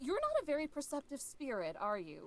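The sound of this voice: A woman performs a put-on character voice at a high pitch with very wide pitch swings. She talks at a fairly quick pace.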